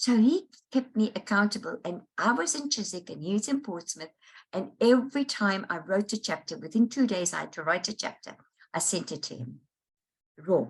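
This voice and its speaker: At a moderate pace, a woman with a medium-pitched, somewhat breathy voice makes very wide pitch swings and big jumps in loudness. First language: Dutch. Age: 70s. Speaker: life coach and author. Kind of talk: interview. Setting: online summit interview.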